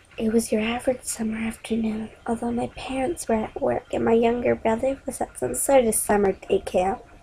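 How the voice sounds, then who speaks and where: Average-speed talk from a woman pitched rather high, over clearly audible background noise. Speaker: amateur story narrator. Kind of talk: horror story reading.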